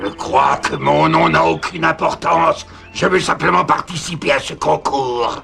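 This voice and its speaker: Someone performs a put-on character voice at a moderate pace. Clear background noise runs behind it. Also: man. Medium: fan dub. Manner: gloating, theatrical, cackling.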